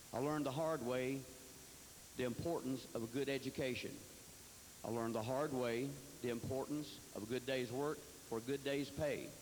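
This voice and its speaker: Over noticeable background noise, a man at a medium pitch talks at a fairly quick pace, broken by long, frequent pauses. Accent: Tennessee. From Tennessee, Fentress County. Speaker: political candidate. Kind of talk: campaign speech. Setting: candidate forum.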